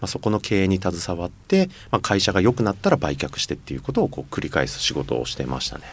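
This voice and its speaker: Very fast, with hardly any pauses, the voice shows vocal fry, very wide pitch swings, and big swings in loudness. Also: man, very deep, low pitch for a man. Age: 40s. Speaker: company founder and chairman. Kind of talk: casual interview.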